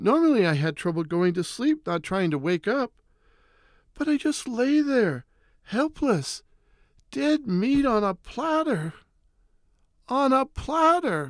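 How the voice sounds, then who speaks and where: The speech comes very slowly with long, frequent pauses and very wide pitch swings, recorded very cleanly with a silent background and a dry, close sound with no echo. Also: man, extremely high pitch for a man. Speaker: horror storyteller. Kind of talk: horror narration of a nightmare, first-person, in a hushed, spooky storytelling mode. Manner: slow, eerie, suspenseful, building dread; hushed and terrified, rising to frantic panic at the climax.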